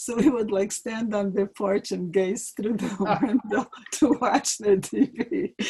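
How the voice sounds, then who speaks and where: A woman with a slight Ukrainian accent, fairly high in pitch and fairly slow, with ordinary pitch variation and noticeable background noise. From Ukraine. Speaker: interviewee parent. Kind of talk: life-story interview. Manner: halting.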